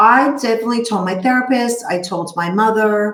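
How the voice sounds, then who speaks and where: The speaker is a woman with a Brooklyn accent. She keeps a moderate pace. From New York, Brooklyn. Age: 50s. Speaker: therapist. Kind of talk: interview.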